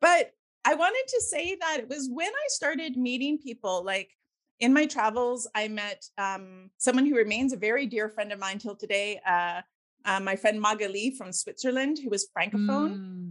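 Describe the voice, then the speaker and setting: A woman with a Canadian accent and lively intonation has an ordinary speaking voice. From Victoria, Canada. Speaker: podcast host. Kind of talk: interview conversation.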